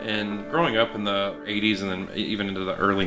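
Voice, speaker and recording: A fairly quick American accent against noticeable background noise. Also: man. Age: 40s. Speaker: amateur race car driver. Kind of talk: documentary interview. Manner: halting.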